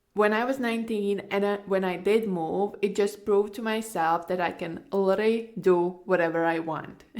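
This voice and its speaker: A woman with a Latvian accent speaks at a fairly slow pace. Her voice is at medium pitch with ordinary pitch variation. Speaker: podcast host, online course coach. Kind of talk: personal story monologue. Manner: casual, filler-heavy.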